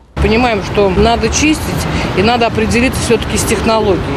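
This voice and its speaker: A woman's voice sounds dry with no echo while loud background noise plays. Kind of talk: interview answer. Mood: calm, businesslike. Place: garden. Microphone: handheld.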